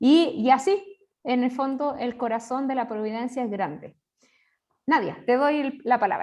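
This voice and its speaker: A high-pitched woman's voice in a Chilean accent, at a fairly slow pace with ordinary pitch variation. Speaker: religious sister, seminar organizer. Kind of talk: online seminar introduction. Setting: video call.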